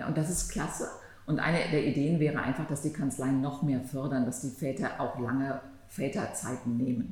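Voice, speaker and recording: Somewhat breathy and very deep in pitch, a woman's voice carries audible room echo. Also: ordinary pitch variation, moderate pace. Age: 50s. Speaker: antitrust lawyer, law firm partner. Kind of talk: podcast conversation.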